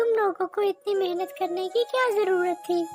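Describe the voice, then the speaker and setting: A cartoonish character voice at a moderate pace, with clear music in the background. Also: female-sounding voice, extremely high pitch for a woman. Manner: warm, sweet.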